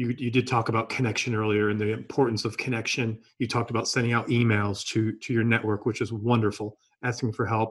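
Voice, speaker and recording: A man's somewhat breathy voice at a very fast pace, medium in pitch, with a monotone, flat intonation. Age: 50s. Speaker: podcast host. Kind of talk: interview. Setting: video call.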